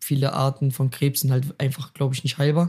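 A man's somewhat breathy, fairly high voice at a fairly quick pace, in a very clean recording with a silent background. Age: 20s. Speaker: athlete and youtuber, interview guest. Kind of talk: casual chat.

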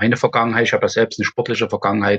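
A man's voice, recorded dry and close with no echo. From Erzgebirge, Saxony. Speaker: golf event organizer. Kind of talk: casual interview.

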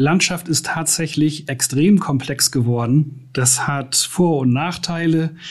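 Fairly even intonation in a man's somewhat breathy voice. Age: 50s. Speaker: IT infrastructure and security manager. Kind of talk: interview.

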